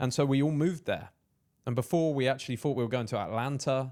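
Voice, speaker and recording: In a very clean recording with a silent background, a man speaks with an English accent. He goes at a very fast pace with fairly even intonation. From England, Peterborough. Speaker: entrepreneur and content creator. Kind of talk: casual chat.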